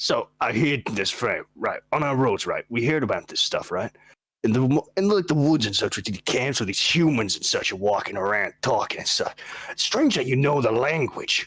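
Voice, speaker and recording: Doing a put-on character voice, a man speaks at a moderate pace. His voice is raspy and fairly high. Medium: actual play. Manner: casual, chatty, says "man" and "boss".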